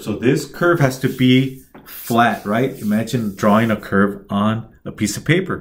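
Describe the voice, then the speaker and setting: A man with a plain, everyday voice, medium in pitch, with lively intonation. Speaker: instructor. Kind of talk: tutorial.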